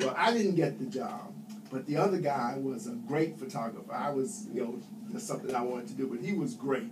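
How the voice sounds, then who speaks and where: With a New York accent, a man talks fairly quickly in a high voice with very wide pitch swings, amid audible room echo and noticeable background noise. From New York City. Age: 70s. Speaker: Air Force veteran. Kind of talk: interview.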